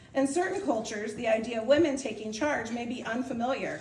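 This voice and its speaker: Woman speaking at a fairly quick pace amid noticeable background noise and audible room echo. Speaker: outgoing club president. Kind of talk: farewell speech. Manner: fast.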